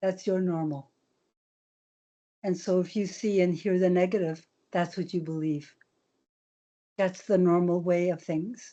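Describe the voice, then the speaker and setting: A woman speaks slowly, leaving long, frequent pauses, her intonation monotone and flat. Her voice is fairly low-pitched, with a dark, mellow tone. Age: 70s. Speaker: elder and residential school survivor. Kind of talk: teaching talk on video call.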